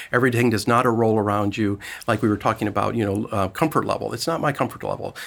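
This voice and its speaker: A man's medium-pitched voice with vocal fry at a very fast pace, on a very clean recording with a silent background. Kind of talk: casual interview conversation. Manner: halting, many fillers.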